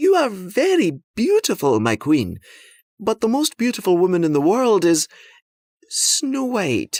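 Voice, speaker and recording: A man uses a put-on character voice at a high pitch and a fairly slow pace. The recording is very clean, with a silent background. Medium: read story. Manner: precise, dry.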